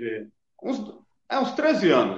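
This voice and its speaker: A man is speaking with audible room echo around him. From Brazil, São Paulo area (Carapicuíba). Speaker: rapper. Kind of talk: casual chat.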